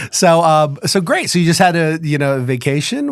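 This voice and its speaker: High in pitch, a man speaks with a Midwestern accent. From Chicago, US Midwest. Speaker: podcast co-host. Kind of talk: casual interview chat.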